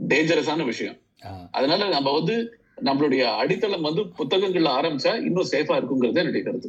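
Lively intonation marks this man's fairly high-pitched voice, a plain, everyday voice. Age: 50s. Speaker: fintech entrepreneur and writer. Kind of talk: interview.

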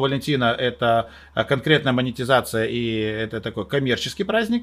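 A man at a medium pitch and moderate pace, with ordinary pitch variation, on a very clean recording with a silent background. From Moldova. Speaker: event host and TV presenter. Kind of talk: casual chat. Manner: animated.

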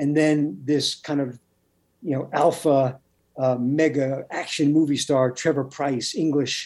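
An ordinary speaking voice moves at a fairly slow pace. Its intonation is fairly even. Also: man, fairly high pitch for a man. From Brooklyn, New York. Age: middle-aged. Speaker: TV writer and novelist. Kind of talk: interview.

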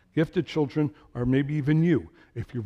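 A somewhat breathy man with an American accent has a dark, mellow tone and lively intonation. The sound is dry and close with no echo. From New York / New Jersey area. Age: 60s. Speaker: lay preacher, retired truck driver. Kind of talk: sermon. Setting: church. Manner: fast; halting.

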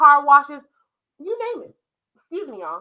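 A woman speaks in a raised, projected voice with a bright, sharp tone. Her delivery is animated, with very wide pitch swings. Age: 20s. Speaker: religious content creator. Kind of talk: preaching monologue.

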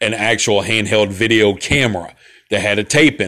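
In a Central Alabama accent, a man speaks at a fairly quick pace with a fairly low pitch and a bright, sharp tone. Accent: Central Alabama Southern. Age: 40s. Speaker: podcast host, Army veteran. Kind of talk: casual solo podcast monologue. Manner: casual, rambling, profane.

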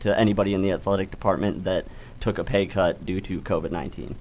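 A man speaks at a fairly low pitch. He has a normal speaking voice. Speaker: sports talk show panelist. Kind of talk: casual sports debate. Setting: studio.

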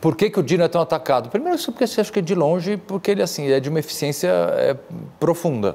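Over noticeable background noise, a man talks at a very fast pace and high pitch, with lively intonation and very even loudness. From Brazil, São Paulo. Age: 40s. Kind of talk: interview conversation.

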